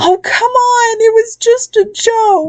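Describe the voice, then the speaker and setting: A woman's put-on character voice, squeaky and at an extremely high pitch. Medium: read story. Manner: desperate.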